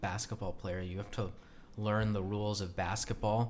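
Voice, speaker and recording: A man talks at a moderate pace with a fairly low pitch. He has an ordinary speaking voice. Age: 20s. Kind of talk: casual chat.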